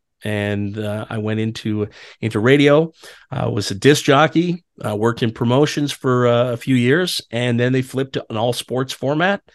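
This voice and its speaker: Against a quiet background, an ordinary speaking voice moves at a moderate pace with ordinary pitch variation. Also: man, medium pitch for a man. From Ottawa, Canada. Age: 40s. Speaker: PA announcer. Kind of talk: casual chat.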